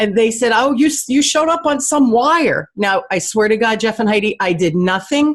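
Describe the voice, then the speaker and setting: Someone with a New Jersey accent talks at a moderate pace with lively intonation. The background is quiet. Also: woman. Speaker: sales coach and radio show host. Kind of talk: podcast interview.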